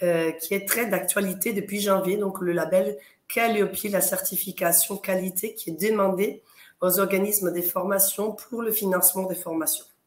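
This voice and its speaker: This woman's voice sits at a medium pitch with monotone, flat intonation. Her pace is fairly slow. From Italy. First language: Italian (speaking French). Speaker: quality consultant and auditor for training organisations. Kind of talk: interview on live talk show.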